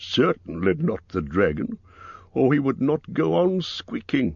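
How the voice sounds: Using a put-on character voice, a man talks at a fairly slow pace and medium pitch, with vocal fry, a slightly husky edge, a slightly mellow tone and big pitch swings.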